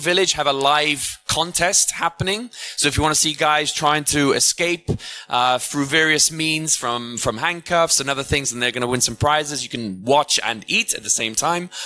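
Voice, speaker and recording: A man speaks with an unremarkable speaking voice at a moderate pace. His pitch is fairly high, with ordinary pitch variation. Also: dry sound with no echo. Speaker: conference emcee. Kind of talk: event announcements and speaker introduction. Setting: stage with audience. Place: stage. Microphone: handheld.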